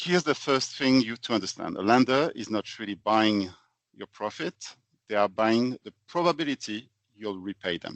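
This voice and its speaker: Lively intonation in a French accent, with big swings in loudness and a moderate pace. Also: man, medium pitch for a man. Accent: French, noticeable. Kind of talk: podcast presentation. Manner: structured, explanatory.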